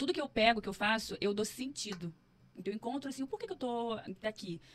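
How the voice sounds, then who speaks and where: A woman's very fast speech, fairly high in pitch, with lively intonation. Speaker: psychologist and entrepreneur. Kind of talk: podcast interview, personal story. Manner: animated.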